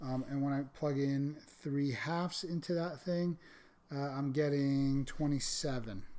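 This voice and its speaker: Audible room echo surrounds a man whose fairly high-pitched voice has a dark, mellow tone, fairly even intonation and very even loudness. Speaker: math teacher. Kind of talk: lecture. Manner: fast.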